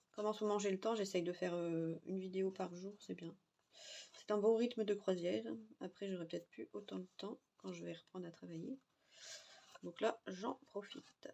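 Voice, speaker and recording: Her tone dark and mellow, a woman speaks at a moderate pace with ordinary pitch variation. She leaves long, frequent pauses. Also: medium pitch for a woman. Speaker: crafting youtuber. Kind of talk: tutorial. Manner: casual; soft-spoken.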